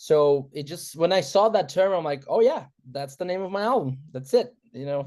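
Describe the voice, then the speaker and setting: A man with a Portuguese accent speaks high in pitch at a moderate pace, with lively intonation and big swings in loudness. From Brazil. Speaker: musician. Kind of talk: interview.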